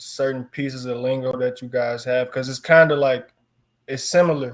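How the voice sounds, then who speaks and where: Here is a man with a Chicago accent and fairly high pitch. His intonation stays fairly even at a moderate pace. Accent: Chicago city. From Chicago, US. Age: 20s. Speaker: football player. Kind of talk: interview.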